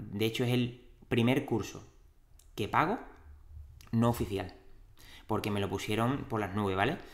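A man of medium pitch speaks at a moderate pace with ordinary pitch variation and long, frequent pauses. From Andalusia, Cádiz city. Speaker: dietitian and podcast host. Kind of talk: interview. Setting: in-person studio at clinic.

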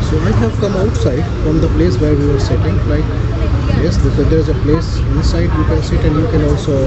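A man talks at a fairly quick pace over crowd noise in the background. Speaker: travel vlogger. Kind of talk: casual vlog chat. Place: station. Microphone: phone near.

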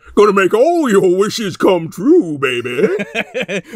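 A put-on character voice is used. It moves at a fairly slow pace. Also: man, high pitch for a man. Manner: playful, silly.

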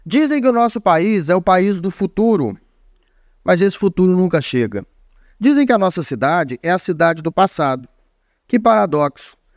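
This voice moves at a moderate pace with very wide pitch swings and long, frequent pauses, over a quiet background with a dry sound and no echo. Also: man, high pitch for a man. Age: 30s. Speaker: online news show host. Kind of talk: opinion commentary. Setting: studio. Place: studio. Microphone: studio mic.

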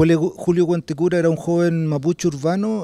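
This man's voice has a dark, mellow tone, moving at a moderate pace in a dry recording with no echo. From Chile, Santiago (Conchalí); Chile. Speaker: documentary filmmaker. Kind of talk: interview; interview answer. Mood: calm, reflective. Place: garden. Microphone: handheld.

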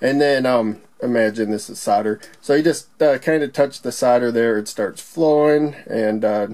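Against a quiet background, a man talks fairly slowly in a dark, mellow tone with ordinary pitch variation. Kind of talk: tutorial. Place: workshop.

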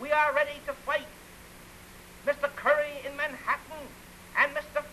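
Over light background noise, a man with an extremely high pitch uses a raised, projected voice at a moderate pace. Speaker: mayoral candidate. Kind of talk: political campaign speech. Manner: forceful, oratorical. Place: studio. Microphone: old recording.

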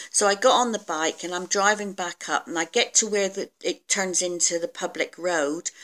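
At a moderate pace, a woman talks with hardly any pauses. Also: ordinary pitch variation. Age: 50s. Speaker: weight loss vlogger. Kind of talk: casual video diary. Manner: hesitant, many fillers. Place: home room. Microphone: phone near.

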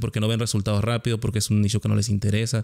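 Against a quiet background, a man talks at a medium pitch. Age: 30s. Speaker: podcast host; podcast host or guest. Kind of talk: casual interview chat. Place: home room. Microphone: studio mic.

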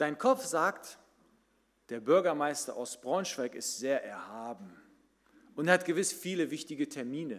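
Speaking at a fairly slow pace with long, frequent pauses, a man with a fairly high pitch sounds animated, with lively intonation and big swings in loudness. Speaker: pastor. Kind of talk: sermon. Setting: church. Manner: animated, conversational storytelling; direct, addresses listeners as 'du'. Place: church. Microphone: podium.

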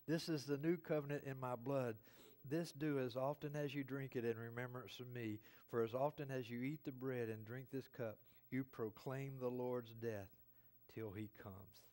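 Against a quiet background, a man speaks at a moderate pace in a dark, mellow tone. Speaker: pastor. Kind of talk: sermon. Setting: church. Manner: animated. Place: church.

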